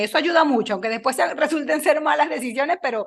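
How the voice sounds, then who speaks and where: A woman speaks at a very fast pace with lively intonation. Her background is quiet. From Venezuela, Lara state (Río Claro). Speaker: engineer and podcaster. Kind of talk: interview conversation.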